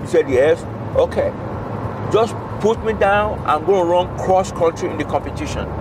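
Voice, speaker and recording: Against noticeable background noise, a man talks at a moderate pace with ordinary pitch variation in a dry sound with no echo. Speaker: storyteller. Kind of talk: casual storytelling. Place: car. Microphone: phone near.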